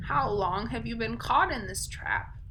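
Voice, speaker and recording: A put-on character voice, fairly high in pitch, at a moderate pace over clear background noise. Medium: read story. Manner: warm, gentle.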